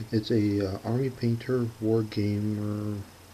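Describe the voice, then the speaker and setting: A soft-spoken voice over noticeable background noise. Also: man. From US Midwest, Chicago suburbs. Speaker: hobby painting youtuber. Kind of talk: tutorial. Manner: halting.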